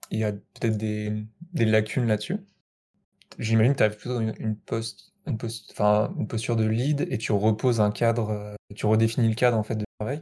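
A man speaks in a dark, mellow tone at a medium pitch. His intonation stays fairly even. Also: moderate pace. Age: 20s. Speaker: software developer. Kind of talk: casual interview. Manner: hesitant, many fillers.

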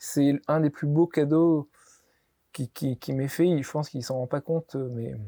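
Fairly slow and dark, mellow in tone, a man speaks at a fairly high pitch on a very clean recording with a silent background and a dry, close sound with no echo. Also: fairly even intonation. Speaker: olive oil producer. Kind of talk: interview.

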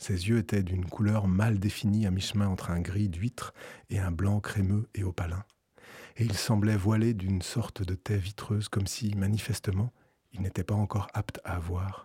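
A man's fairly low, somewhat breathy voice with a dark, mellow tone, fairly even intonation and a fairly slow pace broken by long, frequent pauses, in a very clean recording with a silent background and a dry, close sound with no echo. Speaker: radio music programmer. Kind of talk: personal audio essay and studio discussion. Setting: radio studio.

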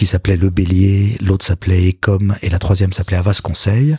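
The sound is dry and close with no echo, and the voice is somewhat breathy with fairly even intonation. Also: man. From Paris. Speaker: communications executive. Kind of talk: interview.

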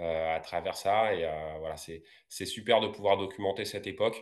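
Speaking at a very slow pace, a man uses fairly even intonation. The background is quiet. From France, Paris region (Val-d'Oise). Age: 40s. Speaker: roller skater and entrepreneur. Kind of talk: interview.

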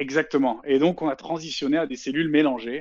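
Speaking at a moderate pace, a man uses a fairly high voice. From southeast France, Avignon. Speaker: video game producer. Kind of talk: interview. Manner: halting, many repetitions and fillers.

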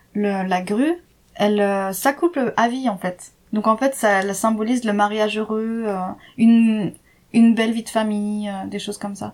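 On a very clean recording with a silent background, a woman speaks at a fairly slow pace. Her pitch varies in an ordinary way. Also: fairly high pitch for a woman. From France, Jura. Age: 30s. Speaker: expatriate interviewee. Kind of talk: casual interview. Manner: hesitant, many fillers.

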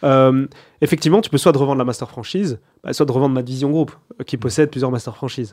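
Very fast delivery broken by long, frequent pauses, with ordinary pitch variation. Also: man, medium pitch for a man. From Belgium, Borinage (Mons), Wallonia. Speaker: restaurant group founder and CEO. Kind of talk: interview.

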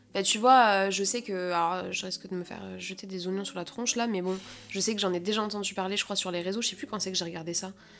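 A woman's medium-pitched voice at a very fast pace, with fairly even intonation. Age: 20s. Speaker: podcast host. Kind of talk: casual chat.

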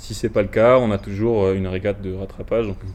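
The man's pitch is fairly low, and his intonation is fairly even. He moves along at a fairly quick pace. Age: 20s. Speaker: student rower. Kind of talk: interview. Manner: halting.

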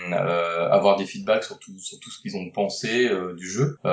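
With a normal speaking voice, a man talks at a moderate pace, fairly low in pitch with ordinary pitch variation. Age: 40s. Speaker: board game designer and publisher. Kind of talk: interview.

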